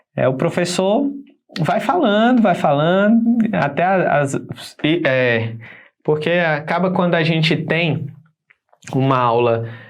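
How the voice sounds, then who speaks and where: A man with a high pitch and lively intonation speaks very slowly, with long, frequent pauses. His loudness stays very even, and the room echo is audible. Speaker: teacher. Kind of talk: lecture. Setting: live online class on camera.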